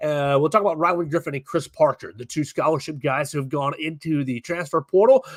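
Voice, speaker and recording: The recording has a dry, close sound with no echo. A man's speech moves at a fairly quick pace. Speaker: sports radio host. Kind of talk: sports talk show. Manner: casual, conversational.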